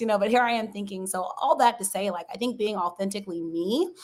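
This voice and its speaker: Here is a woman with an American accent. The recording is very clean, with a silent background. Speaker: sports journalist and broadcaster. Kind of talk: interview conversation. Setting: livestream interview. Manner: fast; high energy.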